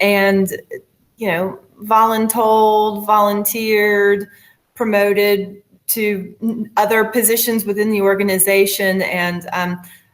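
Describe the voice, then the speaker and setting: A woman in an American accent, medium pitch, monotone, flat intonation and a very slow pace. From US South, New Orleans. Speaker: finance director. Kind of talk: webinar presentation. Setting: webinar.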